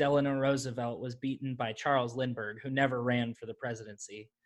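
A man's bright, sharp, medium-pitched voice with an American accent. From California. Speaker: podcast host and stand-up comedian. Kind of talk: casual chat.

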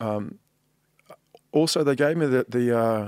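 Speaking with a New Zealand accent, a man talks at a fairly slow pace with ordinary pitch variation. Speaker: artist. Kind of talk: casual chat.

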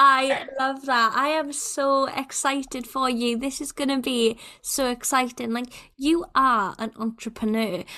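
Raised and projected, a woman's high-pitched voice carries a bright, sharp tone and ordinary pitch variation. She moves at a fairly slow pace in a very clean recording with a silent background. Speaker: podcast host. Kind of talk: casual interview chat.

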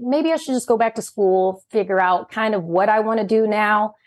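Against a quiet background, a plain, everyday voice with an American accent speaks at a moderate pace. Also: woman. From US, military child, grew up all over. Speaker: journalist and entrepreneur. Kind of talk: interview. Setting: video call.

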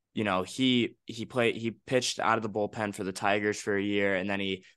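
A man's fairly low-pitched, bright, sharp voice in monotone, flat intonation at a fairly quick pace, over a quiet background. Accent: American. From Chicago South Side. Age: 20s. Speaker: student radio podcaster. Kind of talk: casual chat. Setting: video call.

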